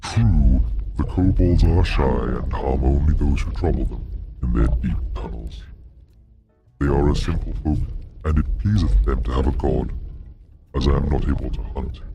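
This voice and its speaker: Putting on a character voice, a man speaks at a moderate pace with a very deep, low pitch while faint music plays in the background. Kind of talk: archaic high fantasy speech. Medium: read story. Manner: slow, formal, archaic.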